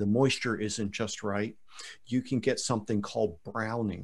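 A man's plain, everyday voice, medium in pitch, at a moderate pace. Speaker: podcast host. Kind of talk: casual podcast interview.

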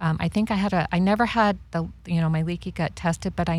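A woman with a normal speaking voice keeps a fairly even intonation on a very clean recording with a silent background. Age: 50s. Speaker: cancer survivor. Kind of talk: interview.

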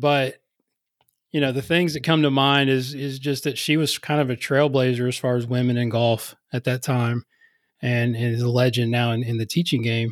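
A man with an American accent has a normal speaking voice at medium pitch with fairly even intonation, in a very clean recording with a silent background. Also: moderate pace. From West Virginia, US. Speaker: golf coach. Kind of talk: casual interview.

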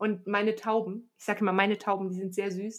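Flat and monotone, the woman's voice stays at medium pitch. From Aachen, western Germany. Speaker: podcast host, trail runner. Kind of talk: casual interview.

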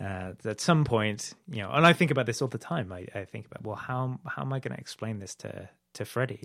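A man with a British accent talks at a fairly quick pace and medium pitch, his intonation lively and his loudness swinging widely. The recording is very clean, with a silent background. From UK. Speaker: filmmaker. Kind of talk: podcast interview. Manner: halting, many fillers and repetitions.

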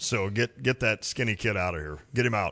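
A man speaks loudly at a moderate pace in a bright, sharp tone. The background is quiet. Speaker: sports radio host. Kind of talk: casual sports talk. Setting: studio.

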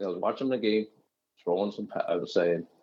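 A man is talking. The background is quiet. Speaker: guest, Jets fan. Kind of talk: casual chat about football. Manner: animated, teasing.

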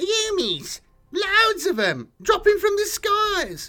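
Squeaky and extremely high in pitch, this is a put-on character voice. It moves at a very slow pace. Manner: panicked, blurting.

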